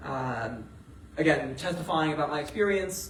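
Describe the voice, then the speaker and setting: Amid noticeable background noise and audible room echo, a man speaks at a moderate pace and a fairly high pitch. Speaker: graduate student activist speaking on antisemitism. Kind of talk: talk at a meeting with audience questions. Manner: many fillers (uh, um).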